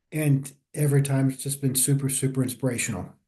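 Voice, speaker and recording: A man speaks at a moderate pace in a fairly high pitch. His voice is somewhat breathy, with a dark, mellow tone. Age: 60s. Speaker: viewer, older longboarder. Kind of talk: casual chat. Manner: halting.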